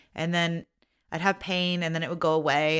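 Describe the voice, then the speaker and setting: Her fairly low pitch and fairly even intonation mark a woman with a plain, everyday voice. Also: very clean recording, silent background. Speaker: podcast host. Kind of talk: casual podcast talk. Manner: warm, conversational.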